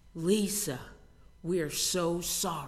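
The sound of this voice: This put-on character voice booms at a middle pitch. An echo is audible.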